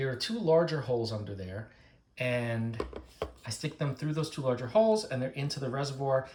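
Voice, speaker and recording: Somewhat breathy and animated, a man at medium pitch talks at a fairly quick pace with lively intonation. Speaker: plant care youtuber. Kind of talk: tutorial. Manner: fast.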